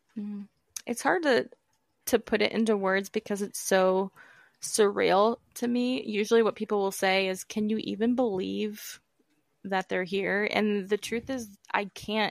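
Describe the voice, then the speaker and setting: A woman's fairly slow speech with fairly even intonation, dry and close with no echo, on a very clean recording with a silent background. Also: medium pitch for a woman. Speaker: author. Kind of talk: interview. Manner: assertive.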